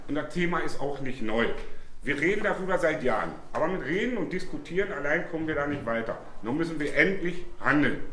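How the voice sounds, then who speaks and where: A man speaks amid audible room echo and light background noise. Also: ordinary pitch variation, fairly quick pace. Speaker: candidate. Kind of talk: political speech. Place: bar. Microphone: camera far.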